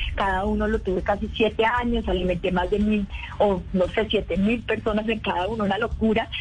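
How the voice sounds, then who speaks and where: Music plays in the background. The delivery comes at a fairly quick pace with very even loudness. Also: woman, medium pitch for a woman. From Colombia, Valle del Cauca. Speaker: actress and entrepreneur. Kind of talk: radio interview. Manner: animated.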